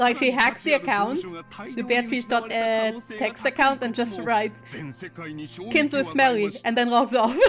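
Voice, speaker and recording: Over music in the background, a woman with a fairly high pitch speaks at a fairly slow pace. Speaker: VTuber streamer. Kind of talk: casual joking commentary on stream. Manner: somewhat monotone.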